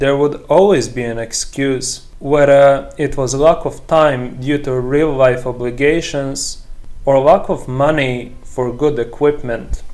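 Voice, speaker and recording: Very slowly, a man talks with fairly high pitch and fairly even intonation. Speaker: movie review youtuber. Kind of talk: scripted narration; personal reflection to camera.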